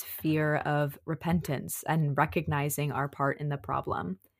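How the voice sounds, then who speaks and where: This woman's voice sits very deep and low in pitch, with vocal fry running through it. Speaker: podcast co-host. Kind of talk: reflective commentary on faith and racism. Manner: earnest, conversational.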